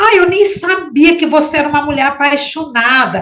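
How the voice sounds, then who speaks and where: A woman's speech moves fairly slowly. The room echoes audibly, and noticeable background noise is present. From Maranhão, northeastern Brazil. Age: 60s. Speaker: writer. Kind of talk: interview. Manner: halting.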